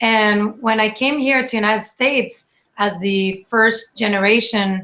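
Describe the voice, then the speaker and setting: A woman with a Spanish accent and a bright, sharp tone. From Mexico. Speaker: scientist with a PhD in biomedical sciences. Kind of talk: casual chat.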